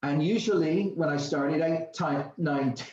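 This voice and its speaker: A man with an American accent, a high pitch, ordinary pitch variation and a fairly slow pace. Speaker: company founder giving distributor training. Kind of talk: training class. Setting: video call with live audience. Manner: animated, conversational.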